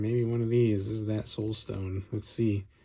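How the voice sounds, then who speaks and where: The voice is somewhat breathy, with a dark, mellow tone and ordinary pitch variation. The recording is very clean, with a silent background. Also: man. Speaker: card opening video creator. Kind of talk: casual pack-opening commentary. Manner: mumbling.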